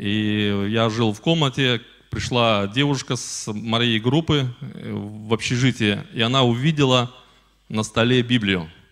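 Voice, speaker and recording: A man at a very slow pace with ordinary pitch variation, against a quiet background. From Belarus, Polesie region, village; Belarus. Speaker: guest. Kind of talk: church address with testimony. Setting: church. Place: church. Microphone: handheld.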